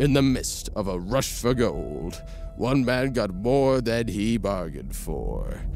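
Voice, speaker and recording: A man talks at a very slow pace with music playing in the background. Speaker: voice actor. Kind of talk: movie trailer.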